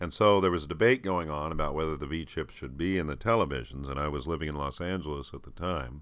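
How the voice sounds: A man talks at a fast pace. His extremely low voice carries a fairly bright tone. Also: ordinary pitch variation.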